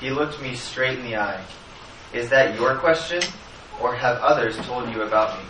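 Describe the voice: The clip is plain reading aloud.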